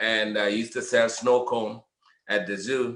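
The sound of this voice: Audible room echo surrounds a man whose medium pitch carries a bright, sharp tone.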